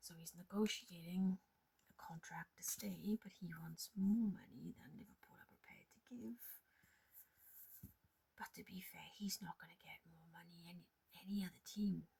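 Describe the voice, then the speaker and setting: The voice is soft-spoken and somewhat breathy, with a dark, mellow, relaxed tone and big swings in loudness. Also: woman, medium pitch for a woman, ordinary pitch variation, moderate pace. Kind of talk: ASMR show and tell ramble; casual talk to camera. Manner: soft-spoken, relaxed.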